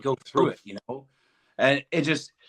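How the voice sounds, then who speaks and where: A man with a Southern US accent at a moderate pace. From Arkansas. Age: 50s. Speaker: podcast guest, former prisoner. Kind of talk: interview answer.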